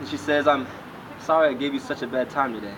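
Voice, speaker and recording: Over noticeable background noise, a man speaks at a medium pitch and a fairly quick pace. His pitch varies in an ordinary way. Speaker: spoken word poet. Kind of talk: spoken word poetry performance.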